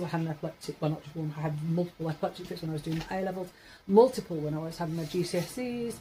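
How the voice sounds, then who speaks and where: A woman speaks at a very fast pace. Her tone is dark and mellow, and somewhat breathy. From Yorkshire, northern England. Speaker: vlogger. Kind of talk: casual monologue vlog. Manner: rambling, hesitant with fillers.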